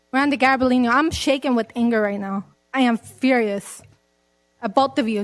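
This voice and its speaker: Her voice is high for a woman, with ordinary pitch variation. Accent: American. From West Covina, California. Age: 20s. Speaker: public commenter. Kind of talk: public comment at council meeting. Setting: city council meeting. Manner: halting, repeated words.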